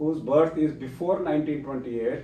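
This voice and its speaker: There's audible room echo around a man whose dark, mellow tone sits at a fairly high pitch with ordinary pitch variation. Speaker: doctor hosting a medical association webcast. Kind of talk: live webcast introduction. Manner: halting with frequent fillers.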